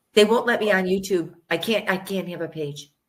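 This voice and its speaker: A woman with an American accent and a plain, everyday voice speaks at a moderate pace in a fairly low pitch with ordinary pitch variation. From United States. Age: 60s. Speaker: vaccine researcher and author. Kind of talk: interview.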